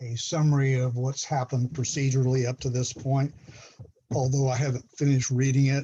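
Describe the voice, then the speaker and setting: Somewhat breathy, a man at medium pitch speaks at a fairly quick pace in a dark, mellow tone with monotone, flat intonation. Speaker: judge. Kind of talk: court hearing. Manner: informal.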